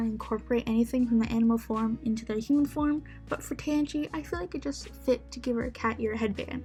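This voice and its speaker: With music in the background, a woman talks at a very fast pace. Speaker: digital artist. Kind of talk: casual voiceover commentary. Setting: laptop microphone.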